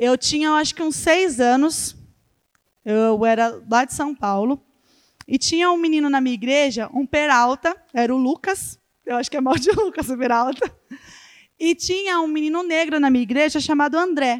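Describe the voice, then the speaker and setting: The pace is moderate. The pitch varies in an ordinary way. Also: woman, high pitch for a woman. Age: 20s. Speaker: children's ministry leader. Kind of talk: church talk.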